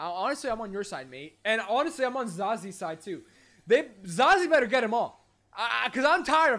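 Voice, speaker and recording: A man with a high, bright, sharp voice makes very wide pitch swings and big swings in loudness, with long, frequent pauses. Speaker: streamer. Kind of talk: casual live stream chat. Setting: live stream. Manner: animated, chatty. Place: home room.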